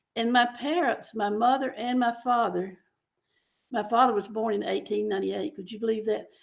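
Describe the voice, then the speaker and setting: A woman talks at a fairly quick pace. Her voice is fairly high, with ordinary pitch variation. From US South, rural Mississippi. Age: 80s+. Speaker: novelist. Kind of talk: interview.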